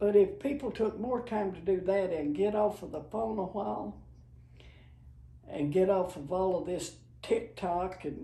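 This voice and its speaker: Somewhat breathy with a dark, mellow tone, a woman speaks at a fairly slow pace with lively intonation. Audible room echo is present. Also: medium pitch for a woman. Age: 80s+. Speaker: grandmother sharing life advice. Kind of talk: casual chat.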